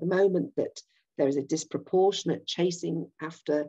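A woman speaks in a dark, mellow tone with fairly even intonation. The background is quiet. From Yorkshire, England. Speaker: political campaigner. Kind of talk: political presentation. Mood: earnest, persuasive. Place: home room. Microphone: webcam.

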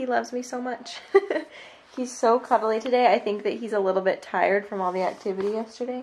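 At a fairly quick pace, a woman talks with fairly even intonation. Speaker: vlogger. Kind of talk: casual vlog chat. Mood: relaxed, cheerful. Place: home room. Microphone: phone near.

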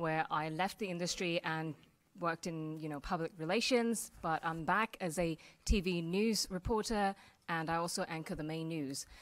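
A woman with a plain, everyday voice, fairly low in pitch, with ordinary pitch variation at a moderate pace. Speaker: panelist, TV news reporter. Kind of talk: panel introduction talk. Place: hall.

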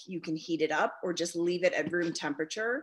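A woman speaks at a moderate pace with a fairly low pitch. The background is quiet. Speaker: guest. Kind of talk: interview answer. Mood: friendly, relaxed, laughing. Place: home room. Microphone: video call.

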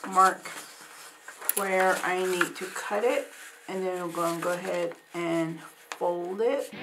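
Noticeable background noise surrounds the recording. A woman talks at a very slow pace through it. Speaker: craft instructor. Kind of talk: tutorial. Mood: warm, calm. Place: studio.

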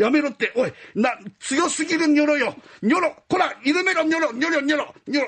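A man speaks at an extremely high pitch with ordinary pitch variation. His tone is animated yet timid. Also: fairly quick pace. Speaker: rakugo storyteller. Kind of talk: rakugo storytelling, performing python, snake boss and other characters. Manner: animated, switching between gruff Edo-style tough-guy and timid voices.

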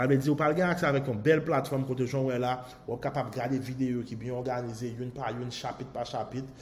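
A man talks at a very fast pace, a bit breathy. His pitch varies in an ordinary way. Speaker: online marketing course promoter. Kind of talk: sales pitch. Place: home room.

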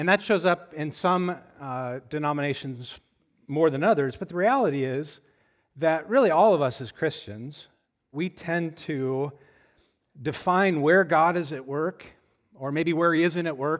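Against a quiet background, a man speaks at a fairly slow pace with ordinary pitch variation and long, frequent pauses. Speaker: pastor. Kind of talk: sermon. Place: church. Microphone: headset.

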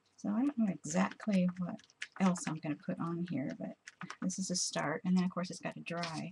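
Fairly low-pitched for a woman, her voice has vocal fry, a slightly husky edge and a slightly mellow tone, moving at a fairly quick pace with ordinary pitch variation.

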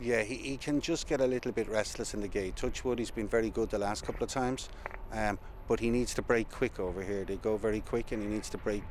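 A man talks at a very fast pace with fairly even intonation. The sound is dry with no echo, over light background noise. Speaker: racehorse trainer. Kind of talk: interview answer. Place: stadium.

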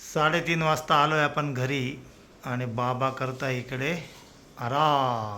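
The tone is bright and sharp. Room echo can be heard. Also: man. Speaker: vlogger. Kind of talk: travel vlog narration. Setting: in a car.

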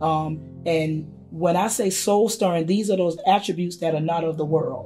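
A woman with an American accent at a fairly slow pace, ordinary pitch variation, and faint music in the background. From South Carolina. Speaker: gospel singer and teacher. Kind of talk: interview answer. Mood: warm, expressive, heartfelt. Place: home room.

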